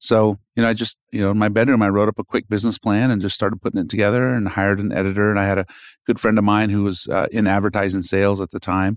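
A man talks at a very fast pace in a fairly low, monotone, flat voice. The sound is dry and close with no echo, on a very clean recording with a silent background. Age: 40s. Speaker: magazine publisher. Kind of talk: casual interview chat. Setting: office studio.

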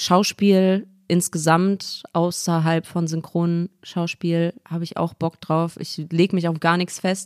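A woman at a very slow pace with monotone, flat intonation, on a very clean recording with a silent background. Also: dry, close sound with no echo. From Ruhr area, Essen. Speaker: rapper and voice actor. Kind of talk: casual chat. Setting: studio, at a living-room table.

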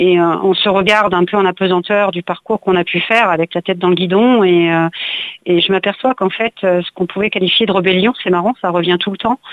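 A woman talks at a fairly quick pace at a medium pitch, with fairly even intonation and very even loudness. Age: 50s. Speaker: painter. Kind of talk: interview. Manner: halting.

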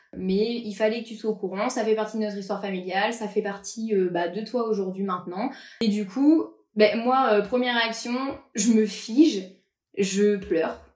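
Fairly high female voice, fairly even intonation and a fairly slow pace, with audible room echo. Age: 20s. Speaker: podcast guest sharing personal story. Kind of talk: personal testimony interview. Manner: casual, hesitant with many fillers.

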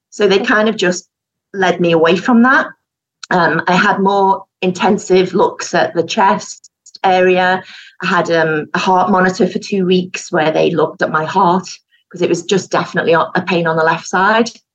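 With a Yorkshire accent, a woman talks at a moderate pace and medium pitch, her intonation fairly even and her loudness very even. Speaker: knitwear designer, breast cancer survivor. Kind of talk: testimony.

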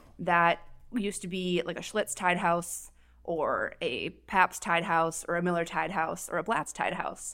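In an Upper Midwest accent, a woman talks at a fairly slow pace with a fairly low pitch, a bright, sharp tone, and monotone, flat intonation. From Minnesota. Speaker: paramedic. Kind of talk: casual chat.

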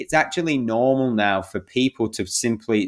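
On a very clean recording with a silent background, a man with an English accent talks with ordinary pitch variation. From England. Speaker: men's coach. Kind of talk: interview conversation.

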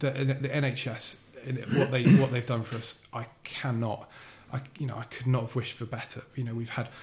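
A man with a medium-pitched voice talks at a moderate speed in a monotone, flat way, with noticeable noise behind him. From Essex, England (Billericay). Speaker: podcast guest with a heart condition. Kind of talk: casual interview. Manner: halting, many repetitions and fillers.

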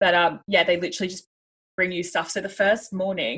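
In an Australian accent, a woman speaks at a medium pitch with flat, monotone intonation. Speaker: podcast co-host and expat. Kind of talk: casual chat.

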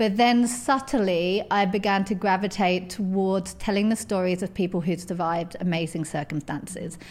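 A woman with a southern English accent. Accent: southern English, London-area. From edge of London, England. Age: 30s. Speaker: author and magazine editor. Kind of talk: casual interview chat.

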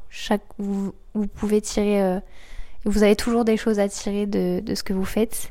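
A woman's dark, mellow tone in a monotone, flat intonation, on a very clean recording with a silent background. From Normandy, France. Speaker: student. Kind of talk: interview. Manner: halting.

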